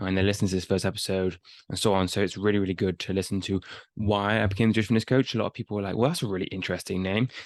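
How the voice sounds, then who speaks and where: Over a quiet background, a man mumbles at a very fast pace in a fairly low pitch with fairly even intonation. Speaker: fitness coach and podcast host. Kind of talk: casual podcast monologue. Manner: mumbling; unscripted, halting.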